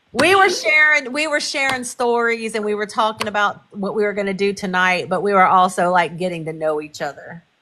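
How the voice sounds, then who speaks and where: At a fairly quick pace with hardly any pauses, a woman speaks in a bright, sharp tone at medium pitch, with lively intonation and a slight Texas accent. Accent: slight Texas country twang. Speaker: live stream guest. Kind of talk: casual chat.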